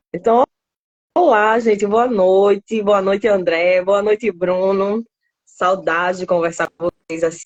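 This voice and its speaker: In a northeastern Brazilian accent, the voice moves at a fairly slow pace with fairly even intonation and very even loudness. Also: woman, medium pitch for a woman. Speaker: biologist in pest control. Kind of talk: live stream interview. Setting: online live stream.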